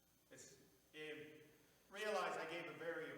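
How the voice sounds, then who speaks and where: Audible room echo and noticeable background noise surround a man's voice. His pitch is fairly high, with ordinary variation. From North Dakota (Bismarck). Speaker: farmer and regenerative agriculture speaker. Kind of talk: Q&A answer at a public presentation. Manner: blunt, animated.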